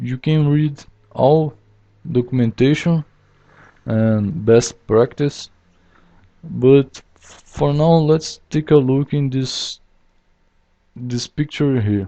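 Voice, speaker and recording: A man with a non-native accent at a medium pitch, at a very slow pace with long, frequent pauses and ordinary pitch variation. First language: not English. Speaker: software developer. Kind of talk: tutorial. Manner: halting, many fillers.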